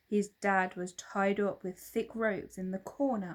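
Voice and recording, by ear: With fairly even intonation, the text is read aloud in a natural voice.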